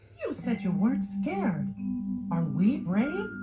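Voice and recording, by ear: A man's cartoonish character voice, high in pitch and slow, with very wide pitch swings over faint music in the background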